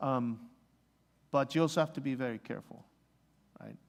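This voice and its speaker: A man speaks with a Spanish accent and lively intonation. His pace is moderate. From Mexico. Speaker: missionary. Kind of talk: church Q&A talk. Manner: halting, many fillers.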